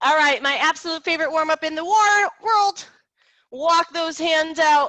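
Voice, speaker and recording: A woman speaks in an extremely high pitch with an energetic, bright, sharp tone. Her raised, projected voice moves at a moderate pace. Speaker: fitness instructor. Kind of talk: fitness class instruction. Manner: energetic, encouraging.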